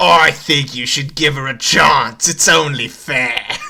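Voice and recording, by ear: Fairly even intonation marks this reading aloud in a natural voice.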